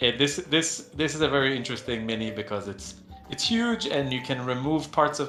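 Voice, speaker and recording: A man with a non-native accent at a moderate pace, music in the background. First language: not English. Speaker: game company co-founder hosting community Q&A. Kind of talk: casual Q&A livestream. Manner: halting, many fillers and repetitions.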